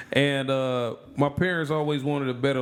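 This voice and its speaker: A man with an American accent talks at a fairly slow pace and medium pitch against noticeable background noise. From Kentucky and Florida (born near Detroit). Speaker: podcast guest. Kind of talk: casual chat.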